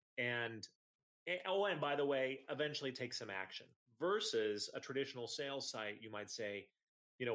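This is a man with an American accent and an unremarkable speaking voice. He talks at a fairly quick pace and a medium pitch. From Iowa. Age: 40s. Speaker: entrepreneur. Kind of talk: casual interview.

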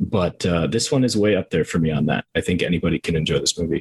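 A somewhat breathy voice with an American accent talks at a very fast pace with lively intonation. The sound is dry and close, with no echo. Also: man. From Minnesota, US Midwest. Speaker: film reviewer, video creator. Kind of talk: casual chat.

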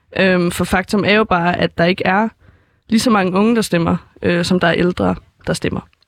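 At a moderate pace, a woman of medium pitch talks with vocal fry, very even loudness and fairly even intonation, in a very clean recording with a silent background and a dry, close sound with no echo. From Denmark, Helsingør. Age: young. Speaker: first-time voter. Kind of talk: interview. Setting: studio. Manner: halting, many fillers.

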